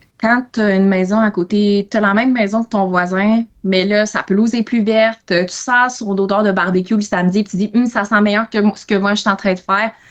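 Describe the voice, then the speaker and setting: A woman at medium pitch with monotone, flat intonation, a moderate pace and hardly any pauses. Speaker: economics consultant. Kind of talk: podcast interview. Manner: hesitant, many fillers.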